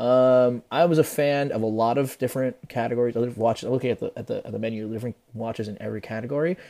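A man with an American accent talks at a very fast pace in a medium pitch, his dark, mellow tone carrying ordinary pitch variation. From New Jersey, US (Peruvian family). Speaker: watch industry professional and influencer. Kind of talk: casual interview chat. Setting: remote call.

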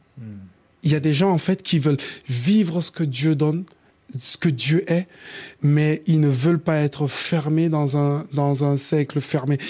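A man's fairly high voice with a dark, mellow tone, fairly slow and very even in loudness, with long, frequent pauses on a very clean recording with a silent background. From Cameroon. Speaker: hip-hop artist. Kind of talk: casual chat.

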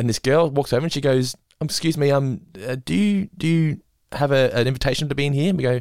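A man's fairly high voice at a very fast pace, dry and close with no echo. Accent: Australian. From Australia. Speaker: podcast host. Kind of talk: casual chat.

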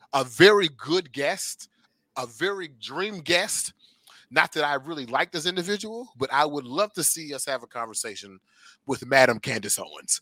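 In a very clean recording with a silent background and a dry, close sound without echo, a man with a fairly high pitch speaks at a moderate pace in an animated, bright, sharp tone with lively intonation. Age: 30s. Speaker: podcast co-host. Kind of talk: casual chat.

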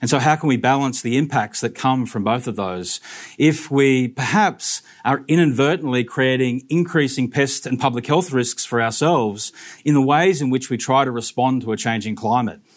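The speaker talks at a moderate pace in an Australian accent. Pitch variation is ordinary. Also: man, medium pitch for a man. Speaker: mosquito researcher. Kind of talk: talk to a live audience.

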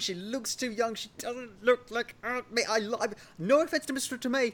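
A man speaks with a southern English accent. His pitch is extremely high. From England, Oxfordshire. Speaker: podcast host. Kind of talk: casual chat.

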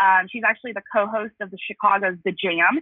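Speaking fairly quickly at a medium pitch, a woman talks with an American accent. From Los Angeles. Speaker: marketing executive. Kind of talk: interview. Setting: phone call.

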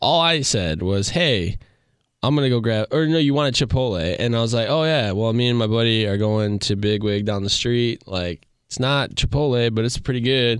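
In an ordinary speaking voice, a man talks at a moderate pace and medium pitch with ordinary pitch variation. His loudness stays very even, and the recording is very clean with a silent background. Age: 20s. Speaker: former baseball player. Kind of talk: casual chat.

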